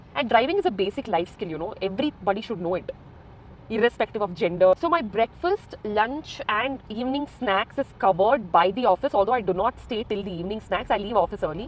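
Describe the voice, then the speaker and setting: Lively intonation carries words delivered fairly quickly. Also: woman, fairly high pitch for a woman. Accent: Goan. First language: Konkani. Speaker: vlogger. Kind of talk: casual vlog talk while driving. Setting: in a car.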